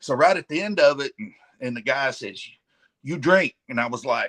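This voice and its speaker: In a Southern US accent, a man speaks at a fairly high pitch with lively intonation, long, frequent pauses and big swings in loudness. The sound is dry and close, with no echo. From Arkansas. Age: 50s. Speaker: professional wrestler. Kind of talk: casual chat. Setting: live stream.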